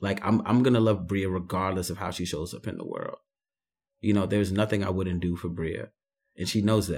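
With a New York accent, a man speaks at a fairly quick pace and a fairly low pitch, keeping his intonation fairly even. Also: very clean recording, silent background. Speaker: writer and artist. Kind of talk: casual conversation. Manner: reflective, hesitant with fillers.

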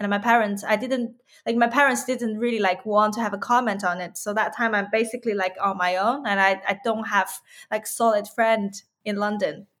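On a very clean recording with a silent background, a woman with a Chinese accent talks at a fairly quick pace with fairly even intonation. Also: fairly high pitch for a woman. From China (Yunnan). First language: Mandarin Chinese. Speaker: musician and poet. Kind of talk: interview. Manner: halting.

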